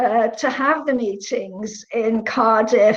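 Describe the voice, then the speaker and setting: Audible room echo surrounds a woman whose pitch varies in an ordinary way. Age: 70s. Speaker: economist and women's policy advocate. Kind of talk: panel discussion. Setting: online conference. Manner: hesitant, with frequent fillers.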